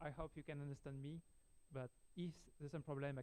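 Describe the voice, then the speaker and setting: A man with a French accent speaks very fast in a fairly high pitch, his dark, mellow tone carried on monotone, flat intonation. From France. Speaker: software engineer, conference speaker. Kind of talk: technical talk. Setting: meetup with audience, livestreamed. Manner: hesitant, many fillers.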